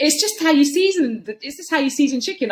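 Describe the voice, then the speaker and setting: With a London accent, a woman talks at a very fast pace in a high voice. Her tone is animated, and her pitch swings very widely. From London, England. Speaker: comedian and writer. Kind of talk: casual interview chat.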